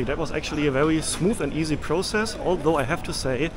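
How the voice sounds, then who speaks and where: A man talks fairly quickly with a German accent and lively intonation. Noticeable background noise is present. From Germany. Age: 30s. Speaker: travel vlogger. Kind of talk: travel vlog narration. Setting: on location, outdoors and traveling. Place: station. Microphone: phone near.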